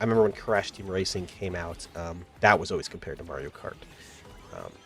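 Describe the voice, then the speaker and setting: Over music in the background, a man with a very deep, low pitch speaks at a fairly quick pace, with ordinary pitch variation and big swings in loudness. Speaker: gaming youtuber. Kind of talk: casual video game review monologue. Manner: casual, many filler words.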